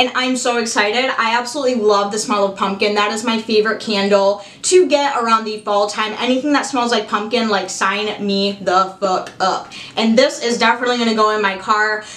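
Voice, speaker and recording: A woman with an American accent speaks in an animated tone at a fairly high pitch, with hardly any pauses. Audible room echo surrounds her voice. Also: fairly quick pace. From Michigan, US. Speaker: YouTuber. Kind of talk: unboxing video. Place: home room.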